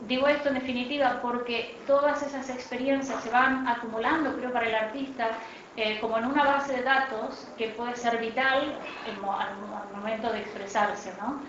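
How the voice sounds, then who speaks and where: Speaking at a moderate pace with a high pitch and fairly even intonation, a woman is heard over noticeable background noise and audible room echo. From Argentina, Buenos Aires. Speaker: art critic and panelist. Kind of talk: panel discussion. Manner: hesitant, many fillers.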